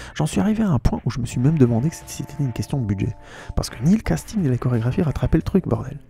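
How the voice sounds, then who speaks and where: Music in the background behind a man with medium pitch, an animated tone, very wide pitch swings and a fairly quick pace. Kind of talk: casual podcast film critique, talking to camera. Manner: fast, animated, colloquial.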